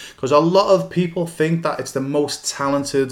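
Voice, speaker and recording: A man talks at a moderate pace with fairly even intonation in a normal speaking voice. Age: 50s. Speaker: goalkeeping coach and academy founder. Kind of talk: solo podcast monologue. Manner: casual with frequent fillers.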